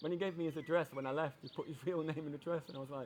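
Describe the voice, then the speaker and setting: A man talks at a very fast pace with a Yorkshire accent. His pitch is fairly high. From Yorkshire, England. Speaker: passerby. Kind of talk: casual chat. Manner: halting.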